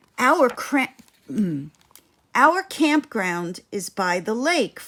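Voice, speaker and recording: Using a put-on character voice, a woman speaks at a very slow pace and a fairly high pitch with very wide pitch swings. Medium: read story.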